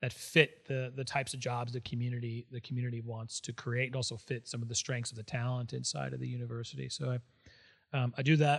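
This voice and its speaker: A man's somewhat breathy voice at medium pitch, very fast and in a monotone, flat intonation. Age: 50s. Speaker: civic entrepreneur and business executive. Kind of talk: interview conversation. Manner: halting, frequent repetitions.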